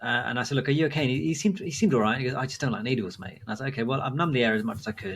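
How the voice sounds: Natural voice reading a text aloud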